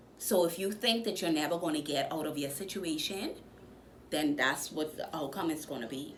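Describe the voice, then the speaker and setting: Speaking with a Bahamian accent, a woman uses a fairly low pitch and ordinary pitch variation, with audible room echo and noticeable background noise. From Bahamas. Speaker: motivational vlogger. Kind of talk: motivational talk. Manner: animated.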